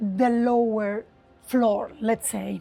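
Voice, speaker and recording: A woman's fairly high voice at a very slow pace, with ordinary pitch variation and music in the background. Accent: Sardinian. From Sardinia, Italy. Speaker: travel writer and travel designer. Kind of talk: on-site travel guide talk to camera. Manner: casual, unscripted.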